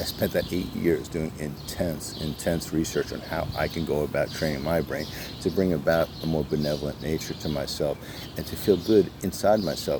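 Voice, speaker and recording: A man's very deep, low voice moves at a fairly quick pace with ordinary pitch variation over noticeable background noise. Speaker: motivational vlogger. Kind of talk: motivational monologue. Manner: fast; halting, many fillers.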